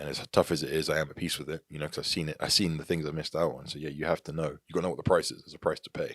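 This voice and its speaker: Speaking very fast with hardly any pauses, a man with an American accent uses a very deep, low pitch, vocal fry and monotone, flat intonation in a dry, close sound with no echo. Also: big swings in loudness. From England (Devon, Tavistock). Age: 30s. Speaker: entrepreneur and former athlete. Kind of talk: podcast interview. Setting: office studio.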